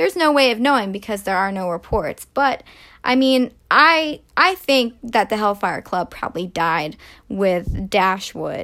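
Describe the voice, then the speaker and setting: In a very clean recording with a silent background, a woman with a bright, sharp tone and fairly high pitch talks at a fairly slow pace, her voice making very wide pitch swings. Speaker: podcast host. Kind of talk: casual storytelling monologue. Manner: casual with filler words.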